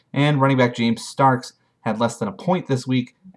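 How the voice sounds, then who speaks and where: The background stays quiet. A man talks. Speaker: fantasy league recap host. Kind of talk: sports commentary recap. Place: home room. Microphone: webcam.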